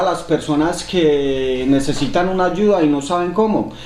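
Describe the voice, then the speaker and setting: Heard with audible room echo, a man talks at a fairly slow pace. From Colombia. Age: 30s. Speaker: podcast host. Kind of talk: casual podcast conversation.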